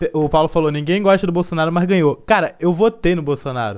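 A man talks at a very fast pace, his pitch high with ordinary variation. The background is quiet. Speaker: podcast host. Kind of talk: casual chat. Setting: live-streamed video podcast. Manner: changes voice for podcasting.

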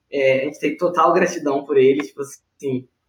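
A man at a moderate pace. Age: 20s. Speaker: engineering student and junior enterprise president. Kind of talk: podcast interview.

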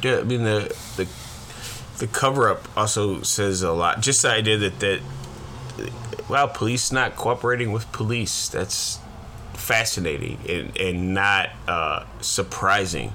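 Against noticeable background noise, a man with a fairly low pitch speaks in an animated tone at a fairly slow pace, with ordinary pitch variation and long, frequent pauses. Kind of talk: casual banter, profane. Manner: animated, profane, rant-like.

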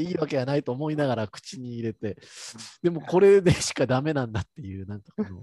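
With a Kansai accent and a dark, mellow tone, a man speaks very fast at a fairly high pitch, swinging very widely in pitch, in a dry, close sound with no echo. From Kansai, Japan. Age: 30s. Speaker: podcast co-host. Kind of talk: casual chat.

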